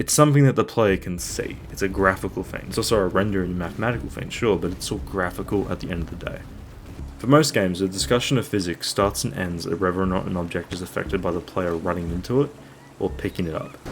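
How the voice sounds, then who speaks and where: Against noticeable background noise, the speaker talks very fast with lively intonation. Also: man, very deep, low pitch for a man. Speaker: game reviewer. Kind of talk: video review narration.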